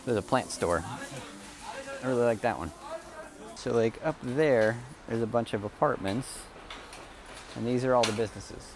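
A man speaks at a fairly quick pace with long, frequent pauses, in a dry recording with no echo and noticeable background noise. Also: ordinary pitch variation. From United States. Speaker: vlogger. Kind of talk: casual vlog narration. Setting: outdoors, walking around town. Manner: halting, many fillers and repeats. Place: street. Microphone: earbuds.

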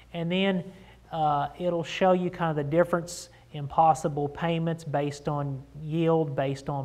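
Here a man speaks fairly slowly in a monotone, flat intonation. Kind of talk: informational talk to camera. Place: office.

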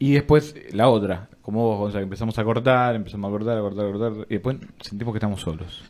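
Very fast pace with ordinary pitch variation. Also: man. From Argentina. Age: 20s. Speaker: podcast co-host, university student; podcast co-host. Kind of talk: casual chat. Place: studio. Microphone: studio mic.

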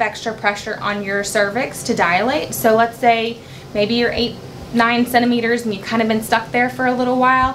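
A woman with ordinary pitch variation over noticeable background noise. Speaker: labor nurse educator. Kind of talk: tutorial. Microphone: camera far.

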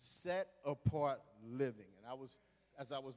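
With ordinary pitch variation, a man speaks in an animated tone. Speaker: assistant pastor. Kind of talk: sermon. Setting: church. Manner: halting. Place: church. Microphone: handheld.

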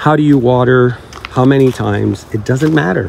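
Noticeable background noise sits under this voice. It moves at a moderate pace with ordinary pitch variation. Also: man. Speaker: orchid-growing YouTuber. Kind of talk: casual greenhouse tour vlog. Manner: animated, frequent laughter.

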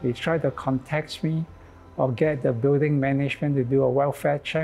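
A man with fairly even intonation over faint music in the background. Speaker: interviewee. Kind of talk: interview answer. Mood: calm, hopeful. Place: church. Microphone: lapel.

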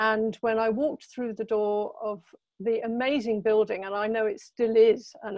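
Speaking at a fairly slow pace with ordinary pitch variation, a woman is heard in a dry recording with no echo against a quiet background. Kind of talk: lecture. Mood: warm, reminiscent. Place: home room. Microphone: video call.

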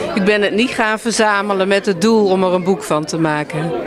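With noticeable background noise but a dry sound with no echo, a woman talks at a moderate pace with ordinary pitch variation. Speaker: book author. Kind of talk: interview answer. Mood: friendly, relaxed. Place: hall. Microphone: handheld.

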